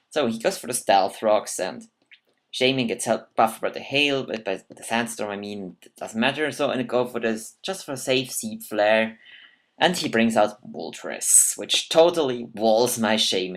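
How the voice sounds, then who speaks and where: Spoken at a moderate pace with a non-native accent, the voice comes through on a very clean recording over a silent background. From Switzerland. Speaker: gaming commentator. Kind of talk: gameplay commentary. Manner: halting, self-correcting.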